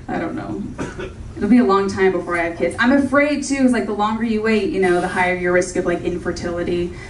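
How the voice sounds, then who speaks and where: Speaking at a very fast pace with hardly any pauses, a woman with an American accent uses ordinary pitch variation amid audible room echo and light background noise. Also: medium pitch for a woman. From Orange County, California. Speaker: stand-up comedian. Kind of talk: stand-up comedy set with audience laughter, joke-driven storytelling. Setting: comedy club stage with live audience. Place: stage.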